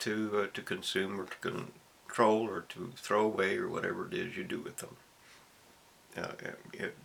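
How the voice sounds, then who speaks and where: The recording has noticeable background noise. A man is talking over it. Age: 70s. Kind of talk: casual monologue to camera. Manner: rambling, hesitant.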